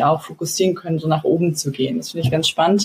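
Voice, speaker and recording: A woman speaks in a somewhat breathy voice at a fairly low pitch, with ordinary pitch variation. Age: 20s. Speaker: startup co-founder. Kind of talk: interview. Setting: video call. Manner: hesitant, many fillers.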